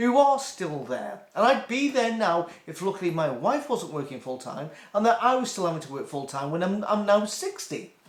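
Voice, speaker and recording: Speaking with a British accent at a moderate pace, a man uses a high pitch with very wide swings, over noticeable background noise. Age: 60s. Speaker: YouTube commentator. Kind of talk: casual rant. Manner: halting.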